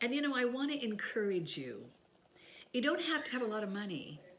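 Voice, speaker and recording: A woman speaks with vocal fry. Audible room echo surrounds her voice. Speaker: author sharing family stories. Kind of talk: casual chat to camera. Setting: home video by Christmas tree.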